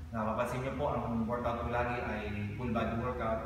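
Music plays in the background of this recording, which carries strong room echo. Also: man. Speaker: fitness coach. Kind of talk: casual vlog chat. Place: gym.

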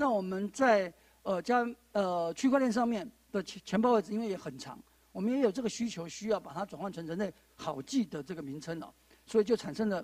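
A man speaks with a high pitch and lively intonation. His loudness swings widely, and the sound is dry with no echo. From Taiwan. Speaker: panel moderator, judge and law lecturer; panel moderator, judge, law lecturer. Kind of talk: panel moderation. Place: studio. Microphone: handheld.

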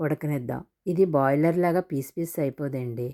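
On a very clean recording with a silent background, a woman with a very deep, low pitch and a dark, mellow tone speaks with fairly even intonation, the sound dry and close with no echo. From Visakhapatnam, Andhra Pradesh, India. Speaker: cooking video creator. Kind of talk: cooking tutorial.

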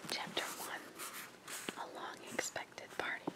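The speech is a whisper, delivered at a moderate pace. Background noise is clearly audible. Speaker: ASMR creator. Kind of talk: sleep story reading. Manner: whispered, soft-spoken.

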